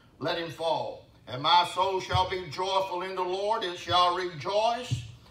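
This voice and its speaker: The man talks at a fairly slow pace in a high voice, with audible room echo. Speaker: pastor. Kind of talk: sermon. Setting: church. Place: church. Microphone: camera far.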